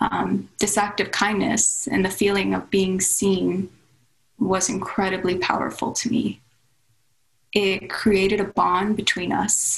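Vocal fry runs through this voice, which keeps very even loudness, fairly even intonation and a fairly slow pace. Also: woman, medium pitch for a woman. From Suriname and Russia. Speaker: painter. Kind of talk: personal storytelling.

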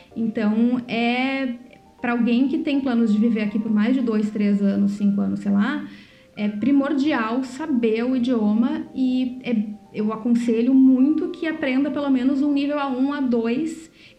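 With audible room echo, a woman speaks at a high pitch and a fairly slow pace, her intonation fairly even. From Brazil. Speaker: podcast co-host. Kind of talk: casual chat.

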